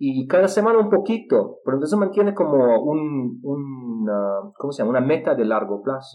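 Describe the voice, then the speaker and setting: A man speaks with a Russian accent in a fairly high voice whose pitch swings very widely. His pace is moderate, with hardly any pauses. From Israel. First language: Russian (speaking Spanish). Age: 30s. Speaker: polyglot and English teacher. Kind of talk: interview. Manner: halting with fillers.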